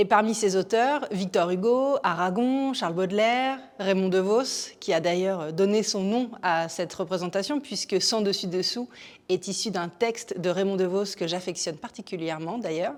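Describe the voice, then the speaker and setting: She has an ordinary speaking voice. This woman's pitch sits in the medium range and varies in an ordinary way. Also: fairly slow pace. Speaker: theatre programme presenter. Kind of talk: theatre show presentation to camera.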